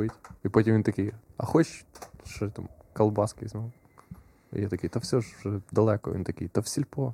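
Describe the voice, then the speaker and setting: Pausing often and at length, a man with a dark, mellow, somewhat breathy tone speaks at a fairly low pitch with ordinary pitch variation. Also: moderate pace, dry, close sound with no echo. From Ukraine, Khmelnytskyi region. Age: 20s. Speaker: stand-up comedian. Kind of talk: casual chat.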